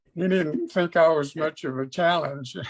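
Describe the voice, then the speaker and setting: A man with a high-pitched voice talks fairly slowly, his pitch varying in an ordinary way. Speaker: author and businessman. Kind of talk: interview answer.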